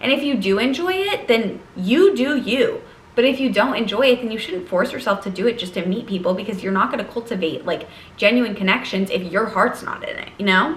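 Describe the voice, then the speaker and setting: Over noticeable background noise and audible room echo, a woman talks at a fairly quick pace with a fairly high pitch. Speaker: lifestyle vlogger and college student. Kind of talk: casual vlog monologue. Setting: sitting at her desk.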